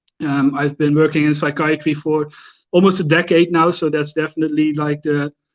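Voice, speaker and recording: A man with a Dutch accent talks at a moderate pace and a fairly high pitch, his intonation monotone and flat. The sound is dry and close with no echo, over a quiet background. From Netherlands, near the Belgian border. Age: 30s. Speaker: Instagram fragrance creator, psychiatric care manager. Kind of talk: live stream interview. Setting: at home, live stream.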